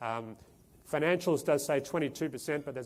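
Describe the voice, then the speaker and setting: Here a man speaks with an Australian accent. His pace is very fast. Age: 40s. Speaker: portfolio manager. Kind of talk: investment presentation. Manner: halting, many fillers.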